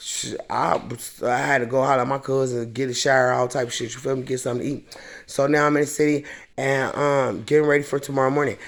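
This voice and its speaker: A man with an American accent talks at a very fast pace and medium pitch. The recording is very clean, with a silent background. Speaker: vlogger. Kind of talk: casual vlog monologue. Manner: animated.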